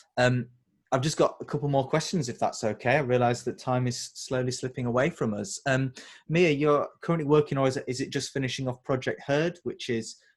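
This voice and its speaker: The recording is very clean with a silent background. The speaker talks at a fairly quick pace with a Yorkshire accent, fairly even intonation and a somewhat breathy sound. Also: man, medium pitch for a man. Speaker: interviewer. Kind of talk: interview.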